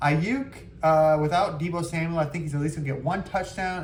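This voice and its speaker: A man's somewhat breathy voice at a fairly high pitch, fairly quick pace and fairly even intonation, with audible room echo. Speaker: fantasy football league host. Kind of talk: casual commentary video. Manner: fast; hesitant, many fillers.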